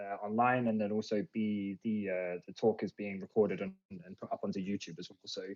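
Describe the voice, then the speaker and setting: Quiet surroundings frame a dry, close recording with no echo. A man with a fairly low pitch talks at a moderate pace with an English accent. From England, London area. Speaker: cybersecurity presenter. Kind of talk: lecture. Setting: online talk on Discord. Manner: hesitant, many fillers.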